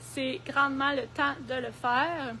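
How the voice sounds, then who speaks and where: A woman speaks in a Quebec accent. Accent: Québécois French. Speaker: garden centre horticulturist. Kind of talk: live stream product presentation and gardening tips. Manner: hesitant, many fillers.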